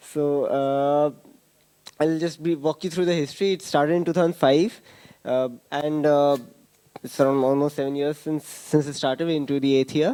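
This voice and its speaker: A man's fairly high voice holds fairly even intonation at a moderate pace. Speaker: conference speaker. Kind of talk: conference talk. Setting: stage with audience. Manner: halting.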